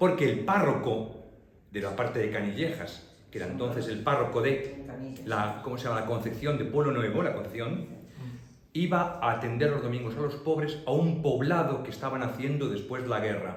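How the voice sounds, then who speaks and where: A man's voice, with ordinary pitch variation, carries through audible room echo and noticeable background noise. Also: medium pitch for a man, moderate pace. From Madrid, Spain. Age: 60s. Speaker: priest giving a local history talk. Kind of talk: public talk Q&A with audience. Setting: public library talk with audience.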